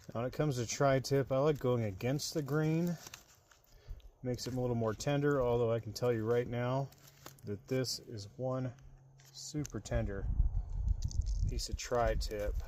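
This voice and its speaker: Quiet and moderately paced, a man talks with fairly even intonation. He leaves long, frequent pauses. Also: medium pitch for a man. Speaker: camping vlogger. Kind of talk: casual vlog narration. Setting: outdoors at campsite. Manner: talking quietly.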